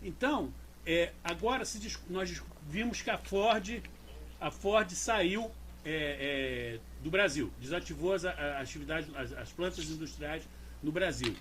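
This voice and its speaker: A man talks at a very slow pace. Noticeable background noise and audible room echo are present. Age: 60s. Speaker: management consultant. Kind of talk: casual chat.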